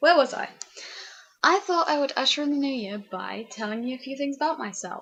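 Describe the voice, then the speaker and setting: A woman's high voice in a British accent, fairly quick in pace, with big swings in loudness. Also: lively intonation. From England. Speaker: vlogger. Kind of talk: casual vlog chat. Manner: frequent ums, rambling hesitations; animated.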